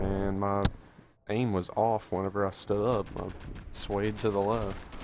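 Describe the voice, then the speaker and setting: A man speaks quietly at a fairly slow pace in a monotone, flat intonation. Noticeable background noise sits behind him. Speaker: gaming youtuber. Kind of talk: gameplay commentary. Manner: quiet, low energy.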